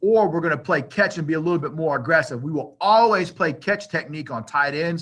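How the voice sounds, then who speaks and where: Bright and sharp in tone, a man speaks at a high pitch with ordinary pitch variation. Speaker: football coach. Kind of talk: coaching clinic presentation. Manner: fast; casual, filler-heavy.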